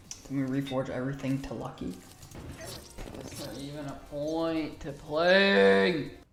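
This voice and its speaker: Noticeable noise lies behind the voice. The delivery is fairly slow. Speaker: gaming YouTuber. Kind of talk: gameplay commentary. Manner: animated.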